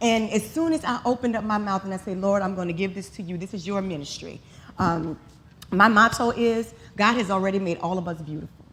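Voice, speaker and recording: A woman with a New Orleans accent speaks at a fairly quick pace with ordinary pitch variation. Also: medium pitch for a woman. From New Orleans, Louisiana. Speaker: model and makeup artist. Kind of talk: conference talk.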